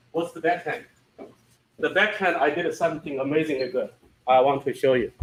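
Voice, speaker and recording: A man's high-pitched voice with a non-native accent, at a moderate pace. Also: long, frequent pauses. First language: not English. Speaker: software company founder presenting product. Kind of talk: product presentation with Q&A. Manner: halting, repeats words.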